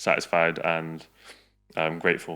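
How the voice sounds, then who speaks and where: A man speaks with music in the background. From England (came from Balkans as a child, 1998). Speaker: YouTuber. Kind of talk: casual chat.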